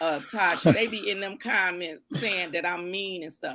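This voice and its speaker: Loud and at a medium pitch, a woman speaks at a moderate pace in a bright, sharp tone with vocal fry. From Detroit, east side. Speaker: judge. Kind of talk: live stream talk. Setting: live stream. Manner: halting.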